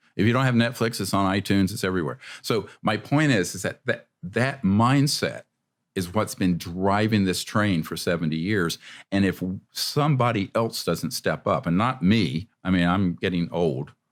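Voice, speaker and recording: In a very clean recording with a silent background, a man with fairly low pitch and an unremarkable speaking voice talks at a moderate pace with lively intonation. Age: 60s. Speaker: ufologist and documentary maker. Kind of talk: podcast interview.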